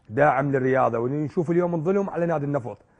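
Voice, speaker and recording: The background is quiet as the man's speech moves at a fairly quick pace, his pitch varying in an ordinary way. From Iraq. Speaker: football club president; guest. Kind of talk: interview. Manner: emotional, impassioned. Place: studio.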